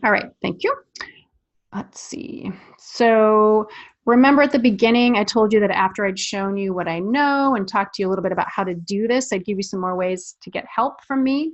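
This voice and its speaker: Against a quiet background, a woman talks at a fairly quick pace with a fairly high pitch. Hers is an unremarkable speaking voice with ordinary pitch variation. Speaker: parenting sex-education coach. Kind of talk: webinar sales pitch. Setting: live webinar.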